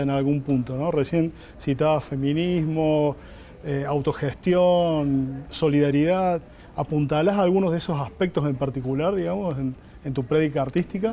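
A man's fairly high, dark and mellow voice at a moderate pace, with ordinary pitch variation. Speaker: journalist interviewer. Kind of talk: interview.

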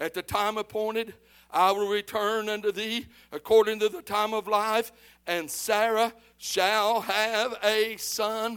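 A man's high voice at a fairly slow pace with fairly even intonation, in a very clean recording with a silent background. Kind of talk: sermon with scripture reading and call-and-response. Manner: pastoral and direct, urging the congregation to answer back.

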